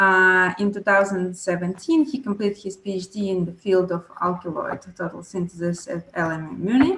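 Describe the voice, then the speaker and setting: A woman speaks at medium pitch. She barely pauses at all. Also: ordinary pitch variation, moderate pace. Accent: Italian. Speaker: panel moderator. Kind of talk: moderated panel introduction. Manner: halting with fillers.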